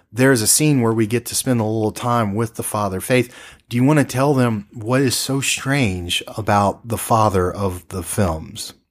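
With an ordinary speaking voice, a man talks at a moderate pace with ordinary pitch variation and hardly any pauses, in a very clean recording with a silent background. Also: medium pitch for a man. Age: 40s. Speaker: radio-style horror film podcast host. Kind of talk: casual chat about films.

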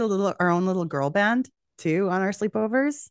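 Against a quiet background, a woman with a Canadian accent talks at a moderate pace. Her intonation is lively. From Western Canada. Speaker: podcast host, guest. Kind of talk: casual chat. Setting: video call.

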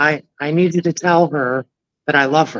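A booming, put-on character voice at a middle pitch moves at a moderate pace.

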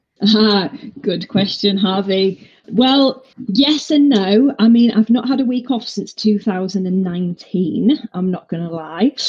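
A woman's somewhat breathy voice in a northeast English accent, at a very slow pace. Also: medium pitch for a woman, ordinary pitch variation. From northeast England. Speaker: fitness instructor. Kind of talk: interview.

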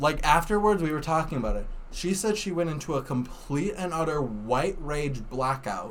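A man with an American accent and a plain, everyday voice speaks at a moderate pace with lively intonation. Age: 20s. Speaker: podcast guest. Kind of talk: casual chat.

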